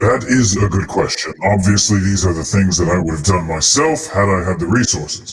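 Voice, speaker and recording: A man's put-on character voice, very deep and low in pitch, fairly quick, with lively intonation. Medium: actual play. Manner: polite, shrewd dealmaker.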